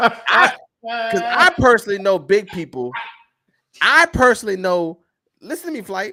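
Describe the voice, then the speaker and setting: In a raised, projected voice, a man with a high pitch and a bright, sharp tone makes very wide pitch swings and big swings in loudness, with long, frequent pauses. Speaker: podcast host. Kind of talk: casual chat. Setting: live stream. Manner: fast.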